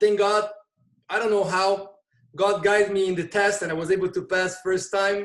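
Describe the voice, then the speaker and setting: A man speaks in a high pitch with a Portuguese accent. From Brazil. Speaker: volunteer EMT. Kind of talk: interview conversation.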